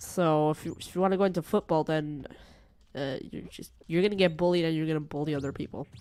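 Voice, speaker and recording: With an American accent and very deep, low pitch, a woman talks in an animated tone at a fairly quick pace, the sound dry and close with no echo. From Portugal. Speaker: gaming streamer. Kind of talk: casual live-stream chat. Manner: rambling, animated.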